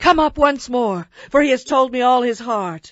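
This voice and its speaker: Using a put-on character voice, a woman talks at a moderate pace, her pitch high and her intonation lively. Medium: audio drama.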